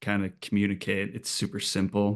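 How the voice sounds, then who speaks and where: A man talks in a Minnesotan accent with a fairly low pitch. The background is quiet. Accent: Minnesota. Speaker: podcast co-host. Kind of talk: casual chat.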